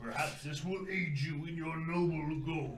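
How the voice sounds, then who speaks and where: Over clear background noise, a man puts on a character voice in a fairly high pitch. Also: moderate pace. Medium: actual play.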